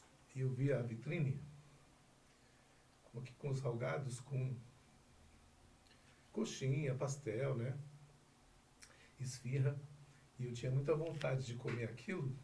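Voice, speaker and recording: Somewhat breathy and dark, mellow in tone, a man speaks at a medium pitch and a fairly slow pace with fairly even intonation and long, frequent pauses. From Northeast Brazil, Bahia. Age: 40s. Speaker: insurance broker and lawyer. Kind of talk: interview answer.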